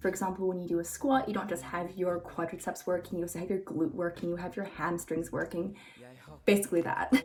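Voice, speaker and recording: Noticeable background noise runs under the recording. A woman speaks at a fairly quick pace. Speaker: fitness coach. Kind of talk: tutorial.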